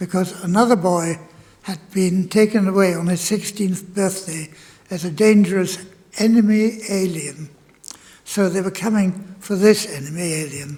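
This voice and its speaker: Against noticeable background noise, a man speaks at a high pitch with fairly even intonation. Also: moderate pace. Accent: German. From Germany. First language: German. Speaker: Holocaust refugee speaker. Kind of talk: testimony. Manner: halting.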